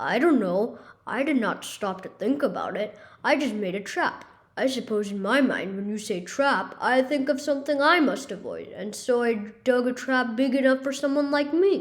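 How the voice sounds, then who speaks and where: The put-on character voice moves at a moderate pace. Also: woman, high pitch for a woman. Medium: read story.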